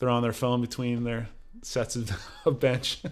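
A man speaks at a moderate pace in a very clean recording where the background is silent. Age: 40s. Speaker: podcast host. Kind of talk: casual interview.

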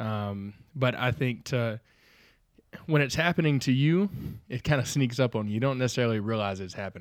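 On a very clean recording with a silent background, a man with a slight Southern US accent speaks at a medium pitch with lively intonation and long, frequent pauses. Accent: slight Southern US drawl. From US South. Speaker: church minister. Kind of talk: casual chat.

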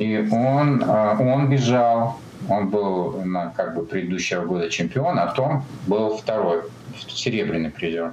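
Over noticeable background noise and audible room echo, a man speaks at a fairly slow pace. His pitch is fairly low, his intonation lively. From Kazakhstan (Almaty), Soviet Union. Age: 50s. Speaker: ultramarathon runner. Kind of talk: interview.

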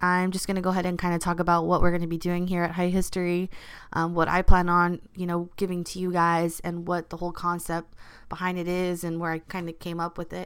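Very fast, monotone speech from a woman in a Californian accent, fairly low in pitch with flat intonation, on a very clean recording with a silent background. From Los Angeles, California. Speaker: podcast host. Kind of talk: casual solo podcast monologue.

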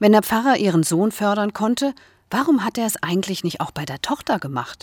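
A woman's voice with very wide pitch swings, recorded dry and close with no echo on a very clean recording against a silent background. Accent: slight Hessian. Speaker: podcaster. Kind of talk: scripted narration.

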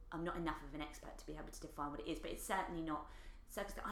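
A woman with an Essex accent speaks amid audible room echo. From Essex, England. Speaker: comedian and actor. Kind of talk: casual chat. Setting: in person at host's place.

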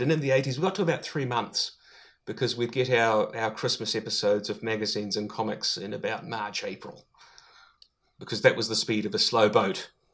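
A man with a New Zealand accent, medium in pitch with ordinary pitch variation, at a fairly quick pace. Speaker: podcaster, guest. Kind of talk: casual chat.

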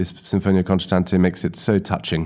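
Talking fairly quickly, a man uses a very deep, low pitch. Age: 30s. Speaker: viola player and artistic director. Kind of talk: interview. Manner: hesitant, with fillers.

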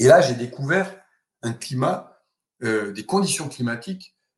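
The voice is somewhat breathy, moving at a moderate pace. Its intonation is lively. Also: man. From Alsace, France. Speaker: climatologist and university lecturer. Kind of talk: interview. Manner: hesitant with repetitions and fillers.

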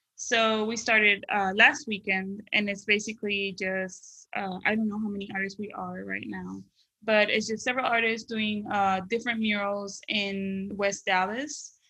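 With hardly any pauses, a woman speaks at a moderate pace and medium pitch in a bright, sharp tone and monotone, flat intonation. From Panama. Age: 30s. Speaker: illustrator and muralist. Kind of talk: casual interview. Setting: video call.

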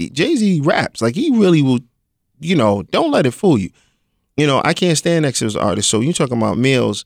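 A man with a New York accent and fairly high pitch swings his pitch very widely at very even loudness, in a very clean, silent recording with a dry, close sound and no echo. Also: fairly quick pace. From Brooklyn, New York (Crown Heights). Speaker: rapper. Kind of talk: casual interview.

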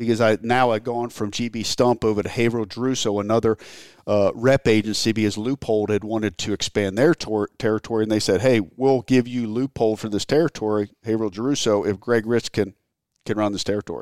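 A man with an American accent and an unremarkable speaking voice talks at a fairly low pitch and a fairly quick pace, with fairly even intonation. The recording is very clean with a silent background, and the sound is dry and close with no echo. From Maryland. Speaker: hunting industry executive. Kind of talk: casual interview. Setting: indoors, raining outside.

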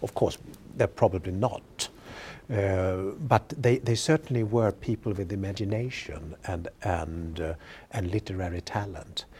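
Speaking with a Swedish accent, a man uses a dark, mellow, somewhat breathy tone at a fairly low pitch with ordinary variation and a fairly slow pace, in a very clean recording with a silent background. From Sweden. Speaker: history professor. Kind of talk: interview. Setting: studio webcast. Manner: halting, with frequent repetitions.

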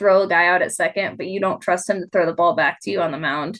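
Speaking in an American accent, a woman with a plain, everyday voice talks at a fairly quick pace with ordinary pitch variation. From Nevada, near Reno. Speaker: head groundskeeper. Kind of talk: interview.

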